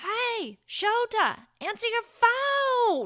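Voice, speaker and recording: A woman uses a loud, shrill, squeaky put-on character voice at an extremely high pitch with ordinary pitch variation. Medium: read story. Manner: boisterous, loud.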